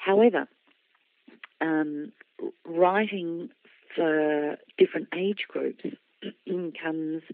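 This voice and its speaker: A woman with an Australian accent speaks at a very slow pace with long, frequent pauses. Her pitch is fairly low, with ordinary pitch variation. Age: 60s. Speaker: children's author. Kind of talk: interview.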